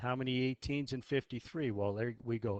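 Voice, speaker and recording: A man with an unremarkable speaking voice talks at a fairly slow pace in a medium pitch with lively intonation. The sound is dry and close, with no echo. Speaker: math teacher. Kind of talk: tutorial.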